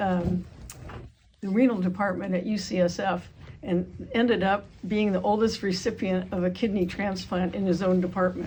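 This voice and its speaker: Over noticeable background noise, a woman with a medium pitch speaks at a moderate pace in fairly even intonation. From California, Carmel. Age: 80s. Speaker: long-time resident, history panelist. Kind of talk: panel talk.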